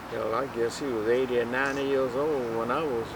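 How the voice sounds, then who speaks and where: Over noticeable background noise and audible room echo, a man with an American accent speaks in a monotone, flat intonation. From Virginia, US South. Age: 80s+. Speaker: elder sharing family history. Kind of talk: oral history interview. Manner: halting.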